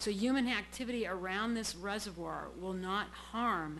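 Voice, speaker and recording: A woman with a New England accent, plus audible room echo. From Massachusetts, Brockton (South Shore). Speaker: public commenter at city council. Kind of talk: public comment at council meeting. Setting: city council chamber.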